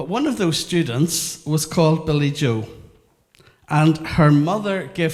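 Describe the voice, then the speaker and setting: This man's voice is fairly high and somewhat breathy. He talks at a moderate pace. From Northern Ireland, Belfast. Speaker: educational consultant. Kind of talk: interactive workshop talk.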